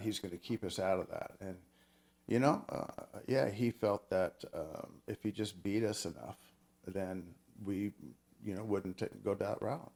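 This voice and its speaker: A man with an American accent, very deep low pitch, ordinary pitch variation and a moderate pace. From Oregon. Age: 60s. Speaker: tech worker and author. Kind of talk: interview.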